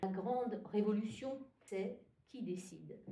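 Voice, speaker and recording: A woman's somewhat breathy voice with a dark, mellow tone, in audible room echo. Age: 60s. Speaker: retired union activist and archivist. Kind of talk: interview. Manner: hesitant, frequent fillers.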